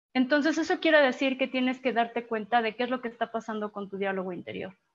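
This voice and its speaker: A woman's high voice, lively in intonation and fairly quick, with music in the background. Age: 20s. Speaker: life coaching enthusiast and photographer. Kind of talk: online talk on personal development.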